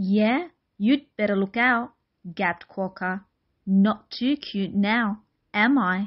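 Over a quiet background, the pitch of an unforced reading voice shifts by an ordinary amount.

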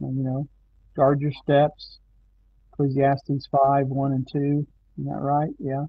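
Very slow and monotone, a man with a fairly high, somewhat breathy voice speaks with long, frequent pauses in a dry sound with no echo. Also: quiet background. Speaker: Bible study leader. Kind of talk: Bible study discussion. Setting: online video stream. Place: home room. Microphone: video call.

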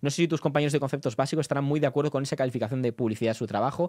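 Animated tone from a man with a fairly high pitch, set against a quiet background. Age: 20s. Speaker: political journalist and streamer; streamer, political commentator. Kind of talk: live stream commentary. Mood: indignant, defensive. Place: home room. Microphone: studio mic.

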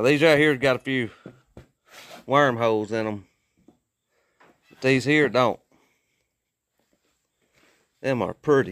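A man's bright, sharp voice at a moderate pace, dry and free of echo. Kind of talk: casual vlog chat. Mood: relaxed, admiring. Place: workshop. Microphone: phone near.

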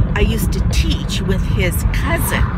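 At a fairly slow pace, a woman speaks with a dry sound with no echo over loud background noise. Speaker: vlogger. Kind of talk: casual vlog chat. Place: car. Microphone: phone near.

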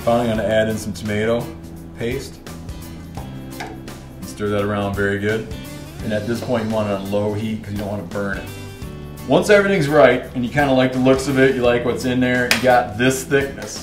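Clear music plays in the background. Over it, a man talks at a fairly quick pace with ordinary pitch variation. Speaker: cooking show host. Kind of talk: tutorial. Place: kitchen.

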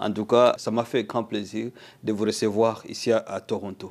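At a fairly slow pace, a man speaks in a fairly low pitch with fairly even intonation. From DR Congo. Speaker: interviewer. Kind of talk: interview. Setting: Toronto, on location. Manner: hesitant, many fillers. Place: home room. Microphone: lapel.

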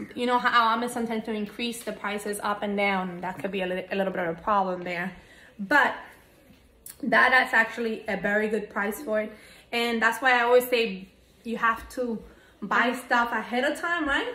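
A woman talks at a moderate pace with ordinary pitch variation, and audible room echo surrounds her voice. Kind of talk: casual vlog chat. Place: home room.

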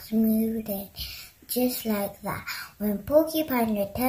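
Unforced voice reading aloud, its pitch rising and falling in an ordinary way

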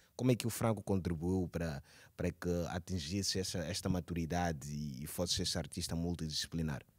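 Over a quiet background, the speaker goes at a fairly quick pace with ordinary pitch variation. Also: man, very deep, low pitch for a man. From Mozambique. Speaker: cultural journalist and TV presenter; cultural journalist, TV presenter. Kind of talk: interview. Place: hall. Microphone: handheld.

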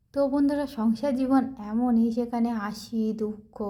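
Somewhat breathy, a woman's fairly high voice carries a dark, mellow tone. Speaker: vlogger. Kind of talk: vlog narration.

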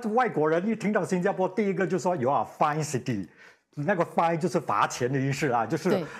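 A man with a high pitch talks at a fairly quick pace, his tone animated and his intonation lively. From Singapore. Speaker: radio host; radio host interviewee. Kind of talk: TV panel chat. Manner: repeats words, halting starts; animated, laughing. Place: studio. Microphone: lapel.

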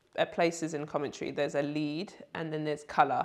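A woman speaks with a London accent against a quiet background. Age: 30s. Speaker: basketball player and commentator; commentator. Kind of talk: interview answer. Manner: casual, light-hearted. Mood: relaxed, reflective. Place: home room.

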